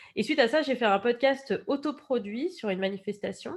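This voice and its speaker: A woman's intonation is lively, set against a quiet background. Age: 30s. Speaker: podcast documentary maker. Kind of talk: interview. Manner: hesitant, many fillers.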